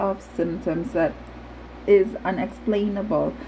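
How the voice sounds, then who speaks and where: There is light background noise. A woman speaks with ordinary pitch variation. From Philippines. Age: 30s. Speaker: vlogger with Parkinson's disease. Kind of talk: personal testimony; casual vlog chat. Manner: halting, with fillers. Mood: earnest, reflective. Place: home room. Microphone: phone near.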